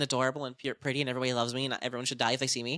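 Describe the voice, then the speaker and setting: A woman speaks in a bright, sharp, animated tone. The sound is dry and close, with no echo. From Ohio, US Midwest. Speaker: streamer. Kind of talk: casual chat. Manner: fast.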